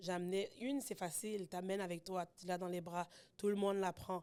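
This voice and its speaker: The speaker is a woman, and her pace is moderate. The intonation she uses is fairly even. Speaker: podcast guest, mother. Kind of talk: casual chat. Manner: loud when at ease.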